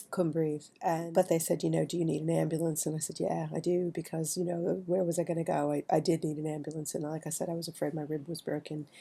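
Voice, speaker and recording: A woman with an American accent speaks at a very fast pace with hardly any pauses. Her very deep, low voice stays monotone and flat. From New York City. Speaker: writer, vlogger. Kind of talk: personal storytelling monologue. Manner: conversational, halting with fillers.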